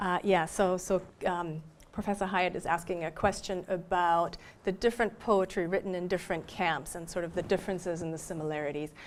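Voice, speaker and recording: A woman speaks with a German accent at a fairly quick pace. Her intonation is fairly even on a very clean recording with a silent background. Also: fairly low pitch for a woman. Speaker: professor. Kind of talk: lecture Q&A. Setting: library talk with audience.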